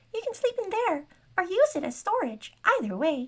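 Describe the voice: A woman uses a squeaky, put-on character voice at an extremely high pitch. Her pitch swings very widely at a moderate pace.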